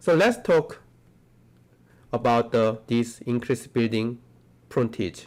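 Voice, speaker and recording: A man talks at a very slow pace, leaving long, frequent pauses. His pitch varies in an ordinary way. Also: medium pitch for a man. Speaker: architecture professor. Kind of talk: lecture.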